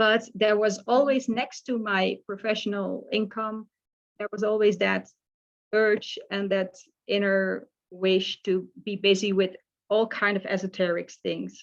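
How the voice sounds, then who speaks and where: A woman speaks at a medium pitch in a Dutch accent. Her delivery is fairly slow, with monotone, flat intonation. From Netherlands, small village. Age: 60s. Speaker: life coach. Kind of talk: casual interview chat. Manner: halting, with many fillers.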